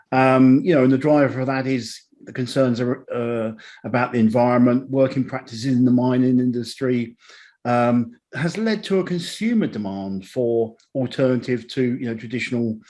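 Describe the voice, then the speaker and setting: At a moderate pace, a man speaks with a dark, mellow tone, medium pitch and ordinary pitch variation against a quiet background. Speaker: technology professional, panelist. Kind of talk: panel discussion.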